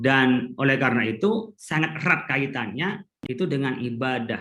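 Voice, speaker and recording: A man with an Indonesian accent, bright and sharp in tone, with lively intonation at a moderate pace. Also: medium pitch for a man. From Madura, Indonesia. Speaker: Islamic scholar. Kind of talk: conference talk.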